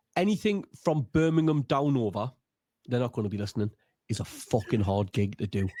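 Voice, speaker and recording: A man talks fairly quickly in a Geordie accent, his tone dark and mellow. His pitch swings very widely, and the sound is dry and close with no echo. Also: medium pitch for a man. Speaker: stand-up comedian. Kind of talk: casual chat. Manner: animated.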